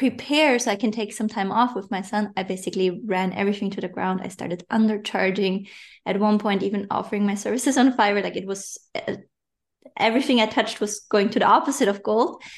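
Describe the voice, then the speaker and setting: Against a quiet background, a woman speaks at a fairly quick pace. Her fairly high voice shows ordinary pitch variation. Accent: non-native. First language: not English. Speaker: online business coach. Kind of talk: interview. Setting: remote podcast interview.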